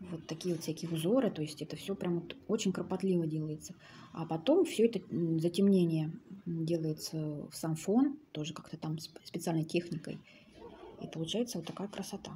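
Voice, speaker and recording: At a moderate pace and fairly low pitch, a woman talks with ordinary pitch variation over light background noise. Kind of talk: casual show-and-tell commentary. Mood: calm, admiring. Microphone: phone near.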